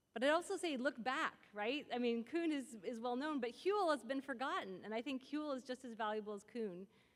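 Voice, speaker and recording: Loud and high-pitched, a woman speaks at a fairly quick pace with lively intonation and hardly any pauses. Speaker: philosopher of science, symposium speaker. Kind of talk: lecture with audience Q&A. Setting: stage with audience.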